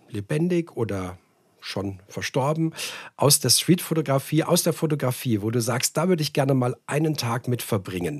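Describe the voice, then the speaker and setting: On a very clean recording with a silent background, a somewhat breathy voice moves at a fairly slow pace with lively intonation. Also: man. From Hesse, Frankfurt area, Germany. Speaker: podcast host. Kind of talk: casual interview.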